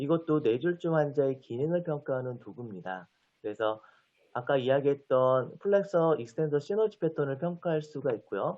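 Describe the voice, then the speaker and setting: This man has an unremarkable speaking voice, fairly high in pitch. He speaks at a moderate pace with lively intonation. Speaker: physical therapy lecturer. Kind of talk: lecture.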